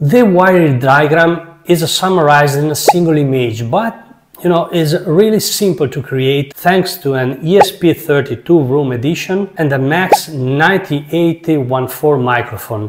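A man talks at a very slow pace. Background noise is noticeable. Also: ordinary pitch variation. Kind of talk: casual vlog chat. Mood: enthusiastic, proud. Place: home room. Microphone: lapel.

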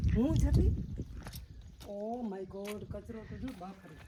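A woman is speaking. Noticeable noise sits in the background. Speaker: travel vlogger. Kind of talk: casual travel vlog narration. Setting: outdoors. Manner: animated. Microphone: no microphone, may be hard to hear.

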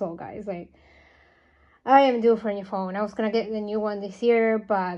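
Fairly quick pacing from a woman, the background quiet. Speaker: doll collector vlogger. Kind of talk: casual vlog chat. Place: home room. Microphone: phone near.

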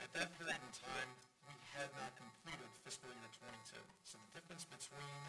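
Loud music plays in the background. A man speaks at a moderate pace. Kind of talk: financial presentation. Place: meeting room.

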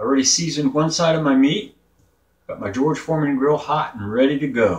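A man's somewhat breathy voice at a fairly quick pace, ordinary pitch variation and a quiet background. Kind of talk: casual cooking vlog. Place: kitchen. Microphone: camera far.

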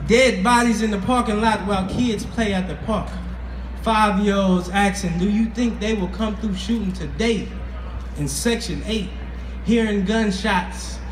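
With music in the background and audible room echo, a man speaks at a fairly slow pace. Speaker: spoken word artist. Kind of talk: spoken word poetry performance. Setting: outdoors. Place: stage.

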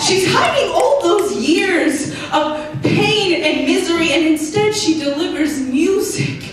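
With an American accent, a woman speaks at an extremely high pitch, very slowly, with lively intonation and very even loudness. Strong room echo and light background noise fill the recording. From United States. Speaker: spoken word poet. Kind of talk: spoken word poetry performance. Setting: live showcase on stage. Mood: earnest, emotional. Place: stage.

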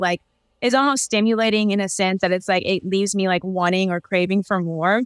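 Against a quiet background, a woman speaks at a fairly quick pace with fairly even intonation, the sound dry with no echo. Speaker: podcast guest. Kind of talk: interview answer. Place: home room. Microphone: video call.

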